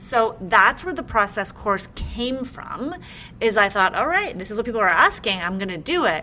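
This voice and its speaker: Upbeat and enthusiastic, a woman with a Canadian accent talks at a moderate pace in a fairly high pitch, her pitch swinging very widely over noticeable background noise. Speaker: interior designer and podcaster. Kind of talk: casual interview chat. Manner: upbeat, enthusiastic.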